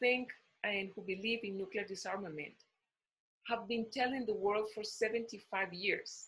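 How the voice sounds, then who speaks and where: A bright, sharp tone with ordinary pitch variation. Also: woman. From Costa Rica. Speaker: diplomat. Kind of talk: panel talk. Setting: video call. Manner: halting, many fillers. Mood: earnest, serious. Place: home room. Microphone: webcam.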